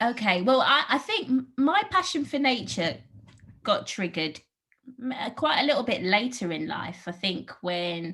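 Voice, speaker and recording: With a London accent, a woman talks at a moderate pace in a high pitch with very wide pitch swings. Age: 40s. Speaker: park programme manager at an art gallery. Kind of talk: interview.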